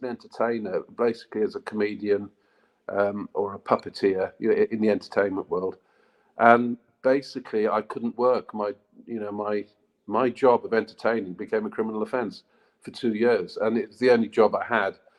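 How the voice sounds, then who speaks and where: In a British accent, a man talks at a medium pitch. His pace is moderate and his pitch varies in an ordinary way. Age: 60s. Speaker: author and martial arts practitioner. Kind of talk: interview conversation. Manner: hesitant, with many fillers.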